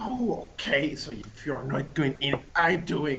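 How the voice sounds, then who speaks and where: In a put-on character voice, the speaker moves at a fairly slow pace over clear background noise. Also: man, fairly high pitch for a man. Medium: actual play. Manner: blunt, impatient.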